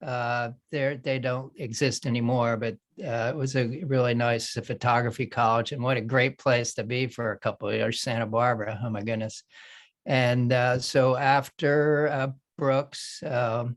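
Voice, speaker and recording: A man with an American accent and an ordinary speaking voice talks at a medium pitch and a fairly slow pace. His intonation is fairly even, and the recording is very clean with a silent background. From Philadelphia area, US. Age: 60s. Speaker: artist and retired photographer. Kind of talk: panel discussion.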